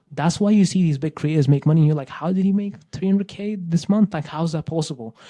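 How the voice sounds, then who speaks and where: A man speaks very fast, with ordinary pitch variation. His tone is dark and mellow, and somewhat breathy. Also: dry, close sound with no echo. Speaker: YouTube growth coach. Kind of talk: casual talking-head advice video. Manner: casual, repetitive emphasis.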